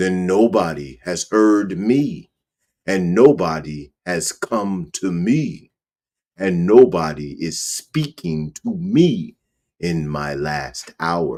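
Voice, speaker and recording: Growling in a put-on character voice, a man speaks very slowly at a very deep, low pitch with a menacing tone. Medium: read story. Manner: growling, menacing.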